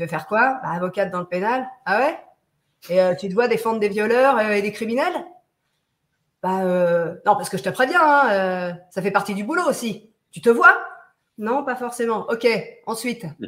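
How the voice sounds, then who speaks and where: Lively in intonation, a woman speaks at a moderate pace with long, frequent pauses. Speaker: voice actress. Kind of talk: casual chat; interview answer. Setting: video call. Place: home room.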